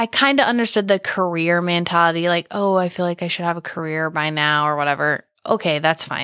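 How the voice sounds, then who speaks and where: A woman's fairly low, bright, sharp voice at a fairly quick pace with hardly any pauses and ordinary pitch variation, in a very clean, dry, close recording with no echo and a silent background. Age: 20s. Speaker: podcast co-host and business owner. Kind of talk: casual chat.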